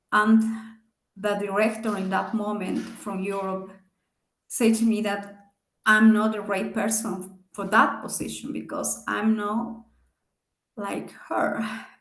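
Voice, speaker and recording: A woman's medium-pitched, monotone, flat delivery, very slow with long, frequent pauses, in audible room echo. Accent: non-native. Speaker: business executive and guest speaker. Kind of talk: seminar talk with Q&A. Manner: halting.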